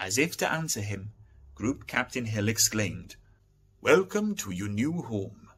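Reading aloud, plain and simple

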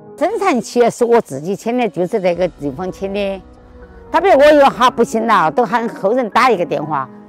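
The voice swings very widely in pitch over faint background music, in a dry sound with no echo. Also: woman, fairly quick pace. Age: 80s+. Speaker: burial plot seller. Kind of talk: interview answer. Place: street. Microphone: lapel.

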